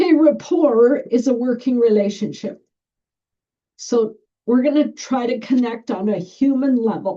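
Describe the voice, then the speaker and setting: This woman speaks loudly. Her pitch is high. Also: ordinary pitch variation, fairly slow pace. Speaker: school bus driver trainer. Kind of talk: training presentation. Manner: projecting, can get loud.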